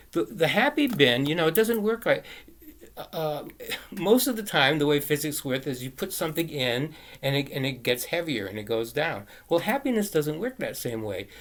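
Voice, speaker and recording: Very wide pitch swings from a man with a fairly high voice. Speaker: video blogger. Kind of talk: casual monologue. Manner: fast; halting.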